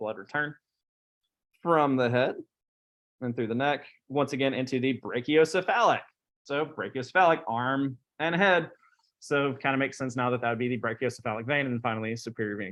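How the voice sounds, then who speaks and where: Against a quiet background, a normal speaking voice moves along at a fairly quick pace. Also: man. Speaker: anatomy instructor. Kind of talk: lecture.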